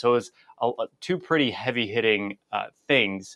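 Dry and close with no echo, the sound carries a man's bright, sharp tone at a medium pitch. He talks at a fairly quick pace. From born in Russia, grew up in the US from age seven. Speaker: physical therapist and author. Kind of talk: interview.

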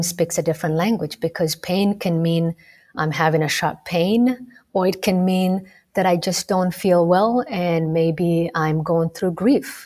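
In a Somali accent, the speaker talks fairly slowly with fairly even intonation on a very clean recording with a silent background. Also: woman. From Kenya, Rift Valley. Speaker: medical student and former medical interpreter. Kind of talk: interview.

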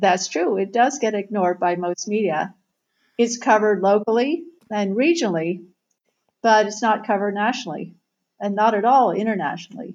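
A woman speaks at a fairly quick pace in a normal speaking voice. Her pitch is medium, with ordinary pitch variation. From Southern Ohio, US Midwest. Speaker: author and tech journalist. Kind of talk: interview.

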